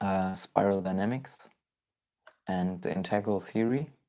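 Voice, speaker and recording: The speech comes very slowly with a German accent. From Germany. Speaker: spiritual YouTuber. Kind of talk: live stream Q&A. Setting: live stream.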